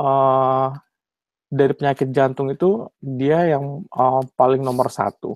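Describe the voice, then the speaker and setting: A very slow pace in a dry sound with no echo. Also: man, quiet background. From Indonesia, West Java (Bandung); West Java, Indonesia. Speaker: cardiologist and PhD candidate; candidate. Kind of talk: webinar lecture. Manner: hesitant, many fillers. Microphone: video call.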